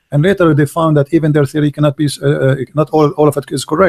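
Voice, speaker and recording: The voice is somewhat breathy and moves at a fairly quick pace, with a dry, close sound with no echo. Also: man. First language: not English. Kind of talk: debate.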